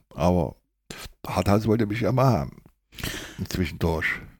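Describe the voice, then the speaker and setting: A man at a moderate pace, on a very clean recording with a silent background. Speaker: former footballer and coach. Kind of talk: interview.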